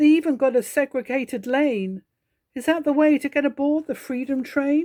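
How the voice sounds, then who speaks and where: On a very clean recording with a silent background, a woman with an English accent speaks at a moderate pace in a dark, mellow tone, the sound dry and close with no echo. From England. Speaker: poetry reader. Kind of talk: reading aloud.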